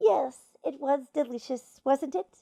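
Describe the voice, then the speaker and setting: Using a put-on character voice, a woman speaks at a high pitch. Her intonation is lively. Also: dry, close sound with no echo. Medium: read story. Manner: pedantic, explanatory.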